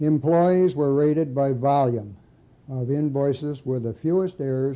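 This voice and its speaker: A man speaks with a Midwestern American accent at a moderate pace. His pitch is fairly high. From Lansing, Michigan. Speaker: retired auto factory auditor. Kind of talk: reading own memoir aloud.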